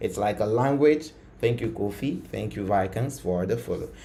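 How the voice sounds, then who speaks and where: Audible room echo around a man's medium pitch with ordinary pitch variation. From Ghana. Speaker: coding tutor, live streamer. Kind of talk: live coding tutorial stream. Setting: live stream. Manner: casual, many fillers.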